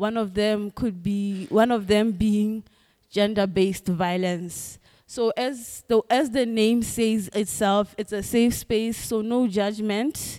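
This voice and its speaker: The speech moves at a very slow pace, its intonation fairly even and its tone dark and mellow. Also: woman, fairly high pitch for a woman. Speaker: event organizer. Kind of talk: announcements. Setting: stage with audience.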